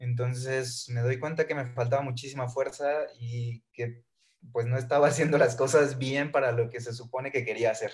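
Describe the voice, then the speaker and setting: A man speaks at a medium pitch and moderate pace. His delivery is monotone and flat, and somewhat breathy. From Mexico, Villahermosa, Tabasco. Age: 20s. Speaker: fitness coach. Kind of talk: podcast interview.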